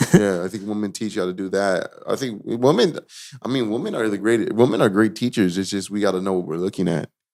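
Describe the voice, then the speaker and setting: Speaking at a very fast pace, a man has a fairly low pitch. His pitch variation is ordinary. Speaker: podcast host. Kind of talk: casual chat.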